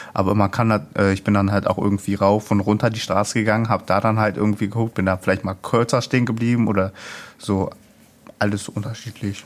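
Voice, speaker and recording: Rushing at a very fast pace, a man speaks with a fairly low pitch and monotone, flat intonation. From Ruhr area, Duisburg. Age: young. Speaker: youth project participant. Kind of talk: casual interview.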